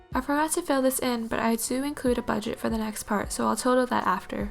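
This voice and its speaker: Music plays in the background. Over it, a woman speaks at a fairly quick pace. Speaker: university student. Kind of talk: bullet journal tutorial voiceover.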